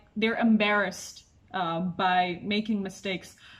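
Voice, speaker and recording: With an Indonesian accent, a woman speaks at a medium pitch and a fairly slow pace with fairly even intonation over noticeable background noise. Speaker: podcast guest, language learner. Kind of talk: casual interview chat.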